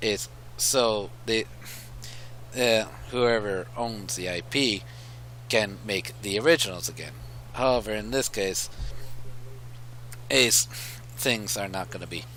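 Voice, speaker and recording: Vocal fry runs through very slow speech that swings very widely in pitch and breaks off into long, frequent pauses. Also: man, fairly low pitch for a man. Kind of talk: casual commentary, video game opinions. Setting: headset microphone. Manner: halting, stuttering.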